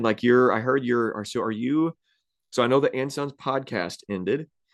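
Against a quiet background, a man uses an ordinary speaking voice at a medium pitch, with ordinary pitch variation and a moderate pace. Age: 30s. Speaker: pastor and podcast host. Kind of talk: casual conversational interview.

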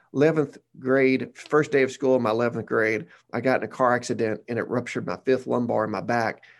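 A man with a Southern US accent talks at a fairly quick pace in a very clean recording with a silent background. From Arkansas, Batesville. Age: 40s. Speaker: pastor. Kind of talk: casual interview.

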